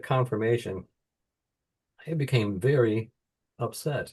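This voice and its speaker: Against a quiet background, a man with an American accent speaks at a medium pitch in a dark, mellow, somewhat breathy tone with ordinary pitch variation. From United States. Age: 70s. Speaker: author. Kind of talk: interview.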